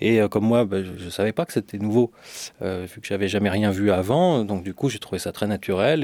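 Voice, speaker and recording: A man's fairly low voice at a fairly quick pace, with ordinary pitch variation and a dry, close sound with no echo, on a very clean recording with a silent background. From France, Lyon. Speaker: sound engineer. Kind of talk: interview. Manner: halting.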